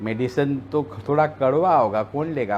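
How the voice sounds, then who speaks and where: Here a man speaks with lively intonation. His pitch sits fairly high. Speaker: politician. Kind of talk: interview.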